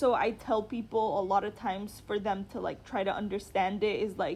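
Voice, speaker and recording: The woman keeps a moderate pace and fairly even intonation. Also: medium pitch for a woman. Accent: American. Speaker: international student. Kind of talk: interview.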